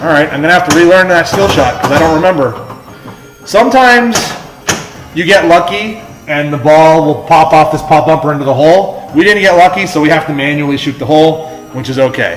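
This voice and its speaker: Backed by music and audible room echo, a man talks at a moderate pace with a fairly high pitch and lively intonation. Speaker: pinball streamer. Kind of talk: live gameplay commentary. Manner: loud.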